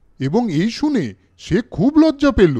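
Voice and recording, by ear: Swinging very widely in pitch, a man speaks with a slightly mellow tone.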